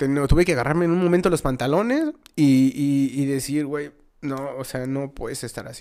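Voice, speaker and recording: A man with a fairly high pitch and a dark, mellow tone speaks at a moderate pace, his intonation fairly even and his loudness swinging widely. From Mexico City. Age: 30s. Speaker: musician. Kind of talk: casual chat.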